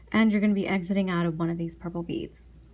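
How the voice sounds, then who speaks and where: A soft-spoken woman talks at medium pitch with a dark, mellow, somewhat breathy tone. The recording is very clean, with a silent background. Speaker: beading tutorial youtuber. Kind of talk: tutorial. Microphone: quiet recording volume despite maxed mic.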